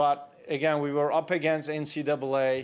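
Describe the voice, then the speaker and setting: The speaker talks with a Turkish accent and fairly even intonation. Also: man. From Turkey (Istanbul). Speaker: entrepreneur. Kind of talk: conference talk. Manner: conversational.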